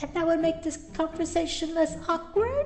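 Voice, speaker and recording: Over clear background noise, a woman uses a squeaky put-on character voice at a moderate pace. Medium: machinima. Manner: silly, scatterbrained.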